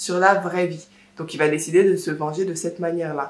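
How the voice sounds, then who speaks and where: In a room with audible echo, a woman speaks at a fairly low pitch with fairly even intonation. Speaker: book vlogger. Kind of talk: casual vlog book review. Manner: slow; halting.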